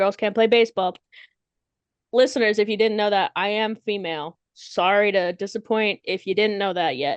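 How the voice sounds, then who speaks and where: A woman talks in a plain, everyday voice at a medium pitch. Her pace is moderate and her pitch varies in an ordinary way. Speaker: podcast co-host. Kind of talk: casual chat.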